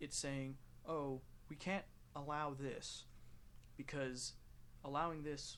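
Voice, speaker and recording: This man has a fairly high pitch and an American accent. He talks at a very slow pace amid audible room echo. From United States. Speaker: gaming youtuber. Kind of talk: casual commentary while playing a game. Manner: rambling with many fillers and restarts.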